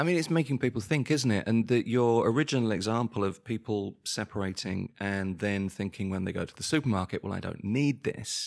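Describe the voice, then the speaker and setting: In a very clean recording with a silent background, a man with a southern English accent and medium pitch speaks at a fairly quick pace with ordinary pitch variation and hardly any pauses. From southern England, near London. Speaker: podcast co-host. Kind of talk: casual chat.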